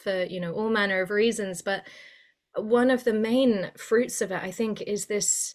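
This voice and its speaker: In a British accent, a woman talks at a moderate pace with a fairly high pitch and fairly even intonation. The recording is very clean and the background silent. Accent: sounds very British. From Spain. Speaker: mythologist and writer. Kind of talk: podcast interview. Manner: hesitant with many fillers.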